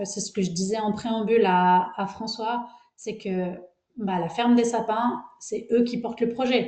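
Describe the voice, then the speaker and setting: A fairly high-pitched woman's voice, dark and mellow, at a fairly slow pace with ordinary pitch variation and audible room echo. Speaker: agronomist researcher. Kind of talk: webinar presentation. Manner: hesitant, many fillers.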